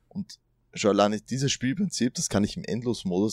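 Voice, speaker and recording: A man's moderately paced speech with lively intonation, dry and close with no echo, on a very clean recording against a silent background. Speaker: podcast host. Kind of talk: casual chat. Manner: hesitant, many fillers.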